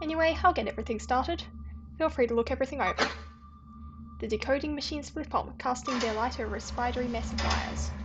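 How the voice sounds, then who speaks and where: A woman talking very fast over music in the background. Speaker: gaming youtuber. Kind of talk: reading game text aloud in a playthrough. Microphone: voice quieter than game music and sound effects.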